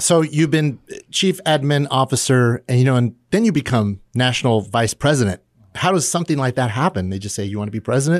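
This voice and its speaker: A man with an American accent at a medium pitch, fairly quick pace and lively intonation, in a very clean, silent-background recording that sounds dry and close with no echo. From McFarland, California. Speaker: radio host. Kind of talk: casual radio interview. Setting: radio studio.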